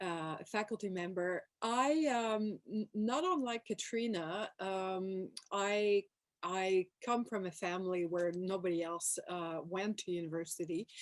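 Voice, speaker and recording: A woman speaks with a Quebec French accent. Her pace is fairly slow and her pitch variation ordinary. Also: medium pitch for a woman. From Quebec, Montreal. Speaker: professor. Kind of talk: panel talk. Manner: hesitant, many fillers.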